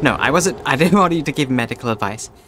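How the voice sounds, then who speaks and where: Music plays in the background as a man speaks fairly quickly. His fairly high voice makes very wide pitch swings. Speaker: video game streamer. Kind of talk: live gameplay commentary. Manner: animated.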